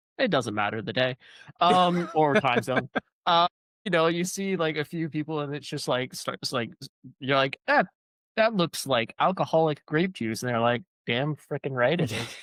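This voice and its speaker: A man with a normal speaking voice talks in a fairly high pitch with lively intonation. The pace is moderate, and the recording is very clean with a silent background. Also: dry, close sound with no echo. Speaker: author. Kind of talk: casual conversation.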